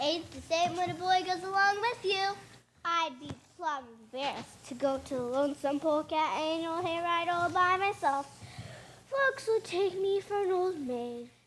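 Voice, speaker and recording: A woman does a put-on character voice in an Appalachian accent, pitched extremely high. Her intonation is lively and her pace moderate. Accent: rural Appalachian hill dialect. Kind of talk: comic stage hillbilly. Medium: stage play. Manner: emphatic, fussy.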